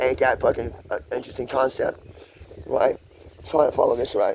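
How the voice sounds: Vocal fry colors a slightly mellow tone delivered at a moderate pace with fairly even intonation. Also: man, medium pitch for a man.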